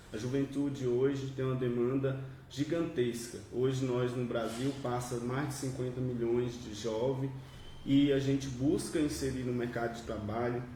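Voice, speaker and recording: Over noticeable background noise and audible room echo, a man speaks at medium pitch and a moderate pace. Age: young. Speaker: union youth secretary. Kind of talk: panel debate. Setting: studio panel with microphones.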